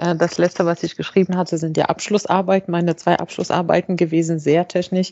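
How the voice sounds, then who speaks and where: This is an unremarkable speaking voice. It moves at a fairly quick pace with hardly any pauses. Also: woman, fairly low pitch for a woman. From Morocco (Fez). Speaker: engineering manager and AI expert, author. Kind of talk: interview. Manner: frequent fillers and self-repairs.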